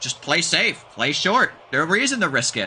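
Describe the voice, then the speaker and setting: A man uses a raised, projected voice and keeps a moderate speed. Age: 20s. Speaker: game streamer and commentator. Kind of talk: live commentary. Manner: casual, halting.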